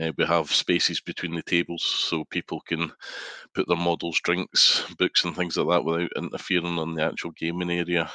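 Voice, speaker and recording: In a quiet background, a man with a Scottish accent speaks in a very deep, low pitch with a bright, sharp tone and monotone, flat intonation. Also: moderate pace, dry, close sound with no echo. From Scotland. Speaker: guest gamer. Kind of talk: casual chat.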